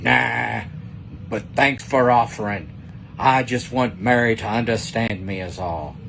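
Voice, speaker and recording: A man puts on a character voice, speaking fairly slowly at a fairly low pitch over clear background noise. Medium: read story.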